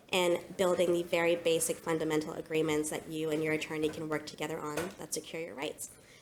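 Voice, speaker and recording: Over noticeable background noise, a woman talks very fast in a very deep, low pitch, with hardly any pauses and monotone, flat intonation. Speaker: panel moderator, company CEO. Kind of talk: panel moderation. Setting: stage with audience.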